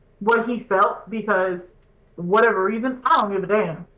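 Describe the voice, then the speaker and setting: A woman speaks loudly in an animated tone. Her pace is moderate. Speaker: podcast host. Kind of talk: casual chat.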